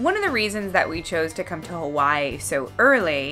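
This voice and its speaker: Moderate pace over faint music in the background. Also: woman. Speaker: vlogger. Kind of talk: casual vlog chat.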